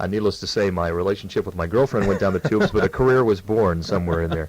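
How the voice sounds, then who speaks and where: Talking at a very fast pace, a man with a Midwestern American accent shows ordinary pitch variation. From Illinois. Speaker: TV news anchor. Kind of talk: radio interview.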